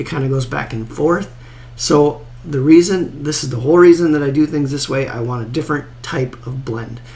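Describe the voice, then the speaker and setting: Male voice, fairly high-pitched, at a moderate pace with fairly even intonation, amid noticeable background noise. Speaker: golf course design tutorial creator. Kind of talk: tutorial. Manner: casual, conversational with filler words.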